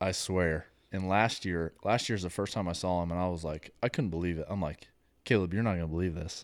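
On a very clean recording, silent background, a man speaks with very deep, low pitch and fairly even intonation. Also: fairly quick pace. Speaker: guest, hunter and entrepreneur. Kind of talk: casual chat. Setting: studio.

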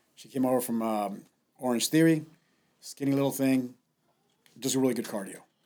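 The voice has a dark, mellow tone and fairly even intonation. It moves at a fairly quick pace but with long, frequent pauses. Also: man, medium pitch for a man, big swings in loudness. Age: 50s. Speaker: gym owner and CrossFit coach. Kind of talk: casual chat.

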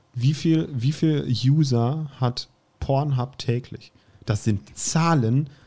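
A man's very slow, somewhat breathy voice with a dark, mellow tone and very even loudness. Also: medium pitch for a man, ordinary pitch variation. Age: 30s. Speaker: podcast co-host. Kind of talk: casual chat.

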